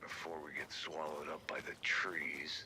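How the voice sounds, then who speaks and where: Against clear background noise, a man puts on a raspy character voice and speaks at a moderate pace. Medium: video game. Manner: deadpan, gruff.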